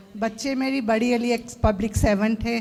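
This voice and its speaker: Noticeable background noise beneath monotone, flat intonation. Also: woman. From Fiji. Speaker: devotee asking at religious Q&A. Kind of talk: casual chat. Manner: halting.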